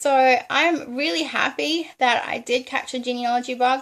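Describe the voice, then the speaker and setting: An enthusiastic woman in an Australian accent, high in pitch. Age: 20s. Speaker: genealogist. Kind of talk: casual talk to camera.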